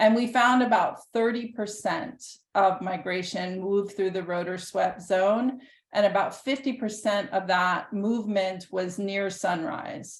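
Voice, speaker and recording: Speaking at a fairly slow pace with an American accent, a woman has an unremarkable speaking voice, a medium pitch and ordinary pitch variation, on a very clean recording with a silent background. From US South, Nashville Tennessee. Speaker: professor. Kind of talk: lecture.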